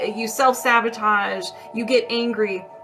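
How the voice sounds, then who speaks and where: Over music in the background, a woman speaks with ordinary pitch variation, and room echo is audible. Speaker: energy healer. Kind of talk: live-stream energy healing session with viewer questions. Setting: TikTok live stream. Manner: casual, conversational with fillers.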